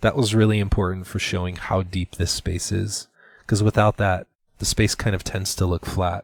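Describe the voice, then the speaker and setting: Speaking at a moderate pace, a man sounds somewhat breathy with monotone, flat intonation. The recording is very clean, with a silent background. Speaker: art instructor. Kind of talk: tutorial. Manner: hesitant with fillers.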